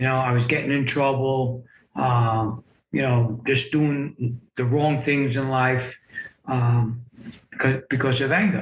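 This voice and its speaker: Fairly slow and fairly even in intonation, a man speaks in a medium pitch. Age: 60s. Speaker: memoir author sharing life story. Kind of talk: podcast interview, personal testimony. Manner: hesitant, many fillers and repeats.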